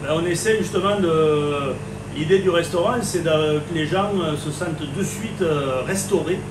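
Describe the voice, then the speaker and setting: Over noticeable background noise and audible room echo, a man with a Languedoc accent speaks at a fairly slow pace in a high pitch with ordinary pitch variation. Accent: Béziers. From southern France, Béziers. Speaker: chef. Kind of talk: interview. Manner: halting.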